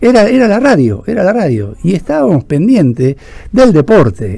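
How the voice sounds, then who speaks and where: With a Rioplatense accent, a man speaks at a moderate pace with very wide pitch swings over noticeable background noise. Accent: Argentine Rioplatense Spanish. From Argentina, Buenos Aires province interior. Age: 60s. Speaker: radio host / interviewer. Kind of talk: phone interview.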